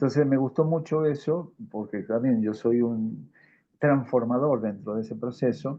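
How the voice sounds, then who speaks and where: A man speaks in a normal speaking voice at medium pitch. His pace is fairly slow and his pitch varies in an ordinary way. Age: 60s. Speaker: audience member. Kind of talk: casual chat.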